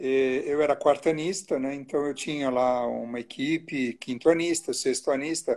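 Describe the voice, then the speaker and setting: Pitched fairly high, a man with a normal speaking voice talks at a moderate pace with ordinary pitch variation. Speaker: obstetrician. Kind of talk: casual chat. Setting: Instagram live video.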